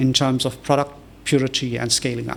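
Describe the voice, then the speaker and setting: Noticeable background noise sits behind a man with a fairly high pitch. He talks at a very fast pace with fairly even intonation. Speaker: professor. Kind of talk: lecture. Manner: many fillers (um, uh).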